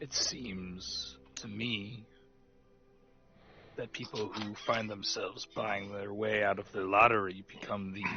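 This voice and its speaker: Putting on a character voice, a man speaks in a fairly low, raspy tone. His delivery is fairly slow. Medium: actual play.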